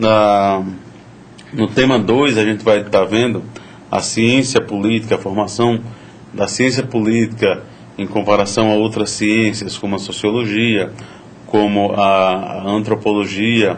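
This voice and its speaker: Fairly even intonation with long, frequent pauses, plus noticeable background noise and audible room echo. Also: man, fairly low pitch for a man. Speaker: university lecturer. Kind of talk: lecture.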